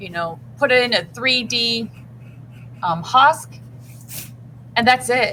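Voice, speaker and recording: A woman's fairly high, bright and sharp voice with vocal fry and ordinary pitch variation. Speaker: art teacher. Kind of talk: tutorial.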